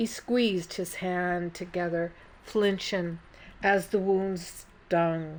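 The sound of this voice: The clip has an unforced reading voice with fairly even intonation.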